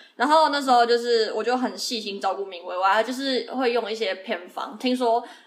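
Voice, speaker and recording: A woman's fairly high pitch with ordinary variation at a fairly quick pace, over noticeable background noise. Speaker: podcast co-host. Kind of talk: casual chat.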